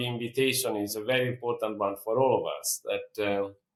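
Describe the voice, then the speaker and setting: This is a man speaking. He keeps a moderate pace. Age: 60s. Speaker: peacebuilder and conflict mediator. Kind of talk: interview. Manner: reflective, with frequent hesitations.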